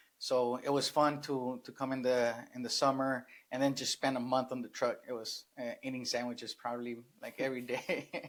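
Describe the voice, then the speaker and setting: A man's medium-pitched voice with a Spanish accent and monotone, flat intonation. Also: moderate pace. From Sinaloa, Mexico. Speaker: real estate investor. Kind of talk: interview. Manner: hesitant, many fillers.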